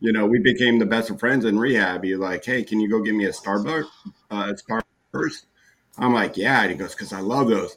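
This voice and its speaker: Medium pitch, moderate speed and ordinary pitch variation from a man with an unremarkable speaking voice. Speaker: co-host or panelist. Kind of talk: casual chat.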